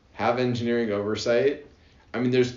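There is audible room echo on this recording. A man talks at a fairly quick pace. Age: 20s. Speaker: manufacturing engineer, podcast co-host. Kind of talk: casual chat.

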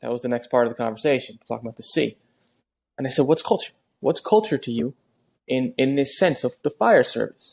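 Speaking at a very fast pace with long, frequent pauses, a man has an American accent and vocal fry. The sound is dry and close with no echo, against a quiet background. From New Jersey. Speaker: podcast host and firefighter. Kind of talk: casual chat.

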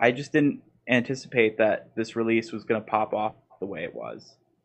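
Using an ordinary speaking voice, this man keeps a moderate pace. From Baltimore, Maryland (US). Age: 20s. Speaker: DJ and music producer. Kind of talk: casual interview chat.

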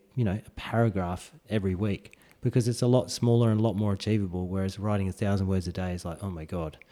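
A man's fairly low, dark and mellow voice in an Australian accent, very fast in pace, with fairly even intonation. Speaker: podcast co-host, parent of a newborn. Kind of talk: casual chat. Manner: hesitant with fillers.

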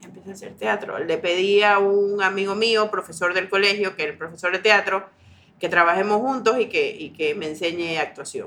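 An unremarkable speaking voice at a moderate pace. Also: woman. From Ecuador, Guayaquil. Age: 40s. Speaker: educational psychologist and actress. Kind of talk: casual chat.

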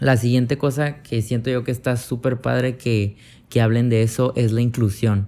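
In a Mexican accent, a man speaks at a medium pitch and a moderate pace. His tone is dark and mellow, his intonation monotone and flat. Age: 20s. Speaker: podcaster. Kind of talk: casual monologue.

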